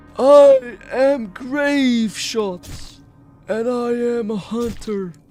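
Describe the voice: A man speaks in a put-on character voice at an extremely high pitch. His pace is very slow.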